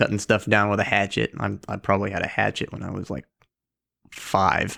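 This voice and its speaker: The speech moves at a fairly quick pace with vocal fry and fairly even intonation, in an American accent. The sound is dry and close, with no echo. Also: man, fairly low pitch for a man. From North Carolina. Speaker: knifemaker. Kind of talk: casual chat.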